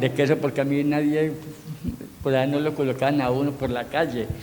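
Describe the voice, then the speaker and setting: The delivery is monotone and flat in intonation, at a moderate pace. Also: man. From Colombia, San Luis, Antioquia. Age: 70s. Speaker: elderly local resident. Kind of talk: personal testimony. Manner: halting.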